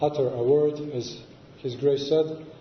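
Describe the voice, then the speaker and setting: Audible room echo surrounds a man with a non-native accent who speaks very slowly at a fairly high pitch. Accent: non-native English, learned in New York. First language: Serbian. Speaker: Orthodox monk and abbot. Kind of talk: lecture. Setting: church with audience. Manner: halting, frequent filler sounds.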